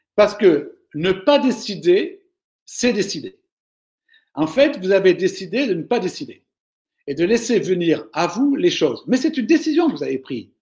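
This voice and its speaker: A man with a high pitch speaks at a fairly slow pace, making very wide pitch swings and long, frequent pauses. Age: 60s. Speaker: management speaker. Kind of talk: webinar Q&A. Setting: online webinar. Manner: hesitant, with fillers.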